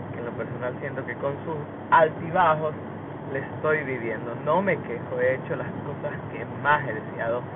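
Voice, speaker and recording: A man speaks at a moderate pace with ordinary pitch variation and a fairly high pitch. Room echo is audible, and there is noticeable background noise. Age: 20s. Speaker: podcaster. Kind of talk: casual monologue. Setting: in a car.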